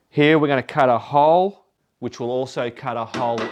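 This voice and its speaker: An Australian-accented man over music in the background. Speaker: motorcycle vlogger. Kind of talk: casual vlog talk to camera. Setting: home garage.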